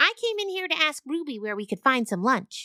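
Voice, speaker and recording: A female-sounding voice puts on a character voice, pitched high for a woman with very wide pitch swings. Her pace is fairly quick. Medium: audio drama. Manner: earnest.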